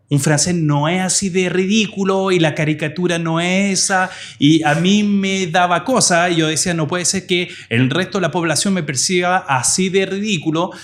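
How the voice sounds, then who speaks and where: A man speaks at a high pitch and a moderate pace. His loudness stays very even, and his intonation is fairly even. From France, of Portuguese parents. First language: French (speaking Spanish). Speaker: digital marketing professor. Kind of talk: interview podcast.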